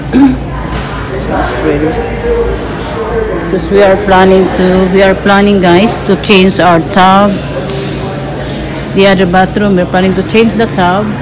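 Clear music plays in the background as the speaker goes at a very slow pace with long, frequent pauses. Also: woman. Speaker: vlogger shopping for remodel. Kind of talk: casual vlog chat. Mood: pleased, admiring. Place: shop. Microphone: phone near.

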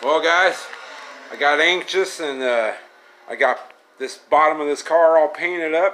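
At a fairly slow pace, a man speaks with fairly even intonation in a fairly high voice. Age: 40s. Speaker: car restoration YouTuber. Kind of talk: casual workshop video narration; casual vlog chat. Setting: home garage shop. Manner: relaxed, rambling with fillers. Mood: relaxed, pleased. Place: garage. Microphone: phone near.

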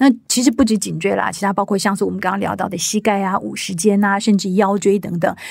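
Talking at a fairly quick pace, a woman uses a medium pitch with ordinary pitch variation and vocal fry. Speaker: podcast host. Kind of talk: interview.

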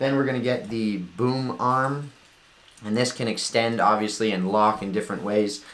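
A man with a fairly low voice. He talks at a moderate pace. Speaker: tech reviewer. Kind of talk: product review tutorial. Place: home room. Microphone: camera far.

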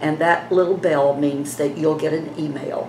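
In a room with audible echo and light background noise, a woman speaks in a very deep, low pitch with monotone, flat intonation. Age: 70s. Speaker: beauty vlogger. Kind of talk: casual vlog talk to camera. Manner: chatty. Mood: chatty, gently persuasive. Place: home room. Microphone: phone near.

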